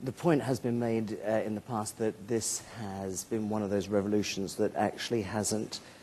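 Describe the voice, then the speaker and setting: A man with a British accent talks at a moderate pace in a dark, mellow tone. His fairly low voice keeps a fairly even intonation. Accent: British accent, self-described as outrageous. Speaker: moderator. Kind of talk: conference panel moderation.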